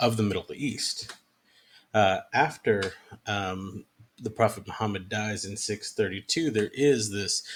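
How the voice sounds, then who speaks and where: The delivery is fairly slow and somewhat breathy, with pitch that varies in an ordinary way. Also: man, fairly low pitch for a man. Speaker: history professor. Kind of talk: lecture. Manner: hesitant, many fillers.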